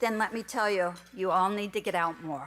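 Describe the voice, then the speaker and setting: This woman has a slight Minnesota accent. She speaks at a moderate pace. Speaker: award recipient, volunteer. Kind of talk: award acceptance speech. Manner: quiet.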